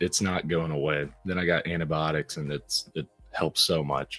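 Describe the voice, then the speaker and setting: Music plays in the background while a man with a very deep, low pitch talks at a moderate pace and fairly even intonation, the sound dry and close with no echo. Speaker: comic book creator. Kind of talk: casual chat.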